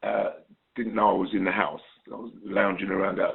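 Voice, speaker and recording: With a slight Cockney accent, a man speaks at a moderate pace. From England, London (born in Trinidad). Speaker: singer-songwriter and producer. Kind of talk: interview. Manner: hesitant, many fillers.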